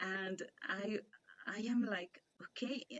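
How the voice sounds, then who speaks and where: With a Spanish accent, a woman talks at a medium pitch. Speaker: interviewer and online English teacher. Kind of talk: casual interview chat. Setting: video call. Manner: halting, many fillers.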